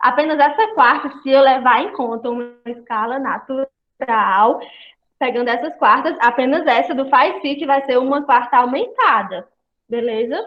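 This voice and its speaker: At a moderate pace, a woman's high voice rises and falls with lively intonation. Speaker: music study group leader. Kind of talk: online group lesson.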